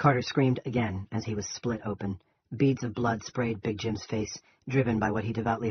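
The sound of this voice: The speaker reads in an unforced voice, holding intonation fairly even.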